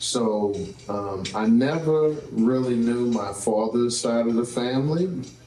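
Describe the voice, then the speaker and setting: A man with a New Orleans accent talks at a fairly slow pace with ordinary pitch variation. Noticeable background noise and audible room echo are present. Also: medium pitch for a man. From New Orleans, Louisiana (uptown, St Thomas projects). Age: 50s. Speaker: entrepreneur and show host. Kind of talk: interview.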